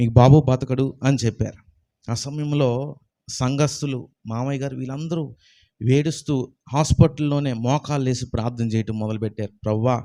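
On a very clean recording with a silent background, a man talks at medium pitch in a dark, mellow tone with fairly even intonation. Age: 20s. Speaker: Bible college student. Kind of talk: testimony.

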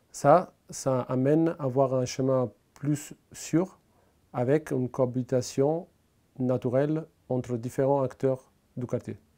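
A man with a dark, mellow tone speaks at a very slow pace, leaving long, frequent pauses. His intonation is fairly even against a quiet background. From Italy. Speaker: local resident presenting a civic project. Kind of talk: prepared pitch to camera. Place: home room. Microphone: lapel.

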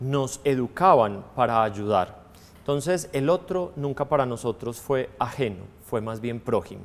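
The pace is very slow. A man is speaking. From Colombia, Antioquia (Girardota); Antioquia, Colombia. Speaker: priest. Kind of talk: testimony interview. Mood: warm, reflective. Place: studio.

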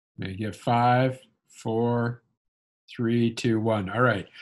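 A man's fairly slow speech comes through with a quiet background. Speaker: scientist; seminar host moderating questions. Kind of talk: seminar hosting. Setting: video call. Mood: relaxed, informal. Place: home room. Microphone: video call.

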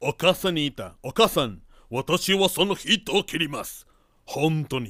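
A man talks at a fairly slow pace in a fairly high pitch, his tone bright and sharp with some vocal fry. His intonation is lively and his loudness swings widely, heard dry and close with no echo on a very clean recording against a silent background. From Veracruz, Mexico. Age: 50s. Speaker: interviewee telling his life story. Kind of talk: storytelling.

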